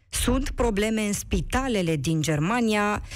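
Very wide pitch swings run through a woman's medium-pitched speech. She talks at a fairly slow pace, with audible room echo. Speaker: radio host. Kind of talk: radio talk show hosting.

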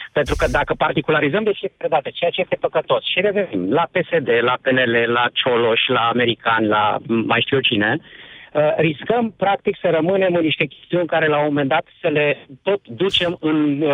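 Lively in intonation and fairly high in pitch, a man speaks at a moderate pace with hardly any pauses. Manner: halting.

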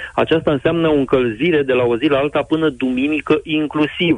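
This man has a normal speaking voice, talking at a moderate pace with fairly even intonation. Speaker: meteorologist. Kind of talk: weather forecast. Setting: phone call.

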